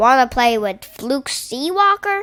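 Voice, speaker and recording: Using a put-on character voice, a woman speaks at a fairly slow pace in a high pitch, her voice raised and projected with very wide pitch swings. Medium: read story.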